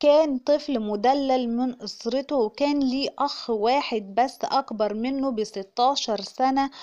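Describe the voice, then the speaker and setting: A woman with an Egyptian accent speaks at a very slow pace with hardly any pauses, her high pitch in a dark, mellow tone with ordinary pitch variation. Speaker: YouTube narrator. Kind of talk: scripted narration.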